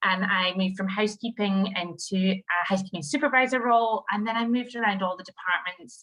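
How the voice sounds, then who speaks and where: Speaking fairly quickly with a Scottish accent, a woman of medium pitch has a bright, sharp tone and ordinary pitch variation. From Scottish Highlands. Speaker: HR director. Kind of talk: webinar presentation.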